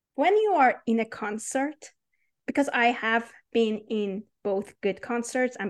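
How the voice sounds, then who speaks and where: In a Persian accent, a woman with fairly high pitch speaks at a fairly slow pace against a quiet background. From Iran. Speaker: PhD student in AI research. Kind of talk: interview.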